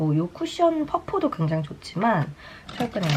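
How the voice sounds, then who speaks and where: Noticeable background noise runs through the clip. A woman talks at a moderate pace. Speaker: beauty vlogger and broadcaster. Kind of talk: casual chat while doing makeup. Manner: light, chatty storytelling.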